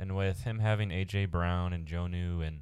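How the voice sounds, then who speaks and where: A man speaks at a fairly slow pace with a very deep, low pitch and fairly even intonation. The recording is very clean, with a silent background. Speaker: fantasy sports podcast host. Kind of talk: casual chat. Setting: studio mic recording. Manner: leans back from the mic, sounds distant at times.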